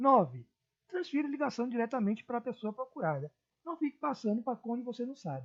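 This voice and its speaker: Her pitch is fairly high and swings very widely. The woman keeps up a fairly quick pace. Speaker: teacher. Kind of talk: lecture. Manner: expressive, moderate pace.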